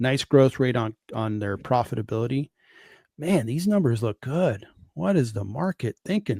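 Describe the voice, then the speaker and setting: Speaking at a moderate pace and medium pitch, a man has a dark, mellow, somewhat breathy tone with very wide pitch swings, in a dry, close sound with no echo and a very clean recording over a silent background. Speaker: stock market streamer. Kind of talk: live stream stock analysis. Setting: live stream.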